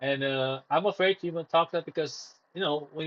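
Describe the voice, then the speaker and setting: A man talks at a moderate pace with a fairly high pitch and ordinary pitch variation. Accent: Romanian. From Romania. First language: Romanian. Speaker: live streamer. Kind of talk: casual livestream monologue. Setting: live stream. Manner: hesitant, many fillers and restarts.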